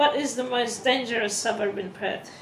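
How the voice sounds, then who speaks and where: A woman with a fairly high pitch talks at a moderate pace. Audible room echo and noticeable background noise fill the clip. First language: not English. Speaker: vlogger. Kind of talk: vlog, reading from a prepared script. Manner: halting, self-correcting.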